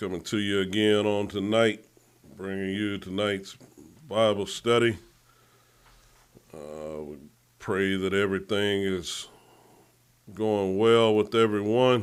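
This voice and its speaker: At a very slow pace, a man speaks at a fairly low pitch with fairly even intonation and long, frequent pauses. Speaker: pastor. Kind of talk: Bible study livestream. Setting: Facebook livestream.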